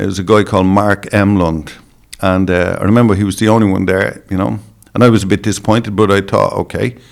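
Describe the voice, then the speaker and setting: Talking at a very fast pace, a man speaks with an Irish accent. His pitch is fairly low. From Ireland. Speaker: dog show judge and breeder. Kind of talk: podcast interview.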